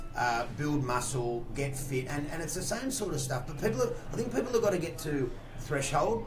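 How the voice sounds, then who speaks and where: A man with an Australian accent speaks at a moderate pace and a fairly high pitch. His pitch varies in an ordinary way, and background noise is noticeable. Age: 40s. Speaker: fitness and weight-loss coach; guest. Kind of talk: radio interview. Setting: radio studio. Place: studio.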